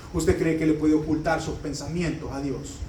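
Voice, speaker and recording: There is audible room echo around this man's speech. Behind it, background noise is noticeable. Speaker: pastor. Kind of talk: sermon.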